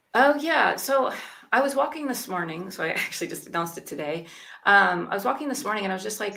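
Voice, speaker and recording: Speaking at a medium pitch, a woman talks very fast with very wide pitch swings. Room echo is audible. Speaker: YouTube coach. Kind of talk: casual chat.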